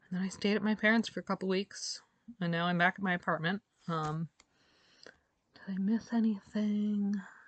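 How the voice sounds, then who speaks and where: Somewhat breathy female voice of medium pitch, moderate pace and fairly even intonation, with long, frequent pauses. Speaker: video blogger recovering from a stroke. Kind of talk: personal vlog update. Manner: halting, many fillers.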